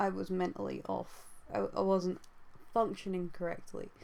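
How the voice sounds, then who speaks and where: A woman is mumbling. She keeps a moderate pace. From UK. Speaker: YouTuber and artist. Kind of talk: casual vlog monologue. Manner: halting.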